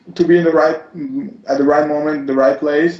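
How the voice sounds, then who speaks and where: Over noticeable background noise, a man with an Italian accent speaks at a fairly high pitch. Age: 20s. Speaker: model. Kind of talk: interview. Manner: halting.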